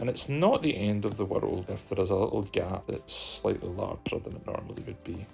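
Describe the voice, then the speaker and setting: Over noticeable background noise, a man talks at a fairly quick pace with hardly any pauses. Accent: Scottish. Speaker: video editing tutorial creator. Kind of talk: screen-recorded software tutorial. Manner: casual, conversational.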